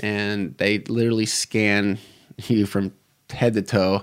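A man's fairly low, monotone voice in an American accent, with flat intonation, in a very clean recording with a silent background. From US Midwest, Detroit area. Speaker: military veteran. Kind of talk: casual interview chat.

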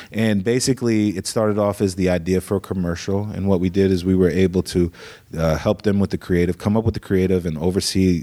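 The speaker has an American accent and talks at a fairly quick pace. The intonation stays fairly even. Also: man. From Iowa, US Midwest (Des Moines). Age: 30s. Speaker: creative director at a marketing agency. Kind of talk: casual interview.

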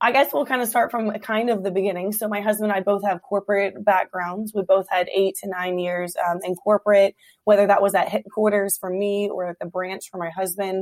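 A woman with an American accent at a fairly quick pace, fairly even intonation and hardly any pauses, in a dry, close sound with no echo. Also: medium pitch for a woman. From Hampton Roads, Virginia. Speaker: restaurant owner, speaker. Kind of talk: casual interview chat. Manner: fast talker.

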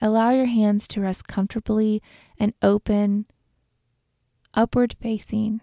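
A woman with a dark, mellow tone speaks at a fairly slow pace in a soothing, calm manner, her intonation monotone and flat, with long, frequent pauses, in a very clean recording with a silent background and a dry, close sound with no echo. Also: fairly high pitch for a woman. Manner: slow, soft, soothing and calm, with long pauses between gentle instructions.

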